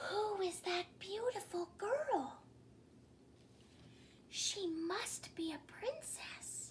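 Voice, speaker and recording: Using a put-on character voice, a woman speaks at a very slow pace with long, frequent pauses over clear background noise. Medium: read story. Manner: whiny.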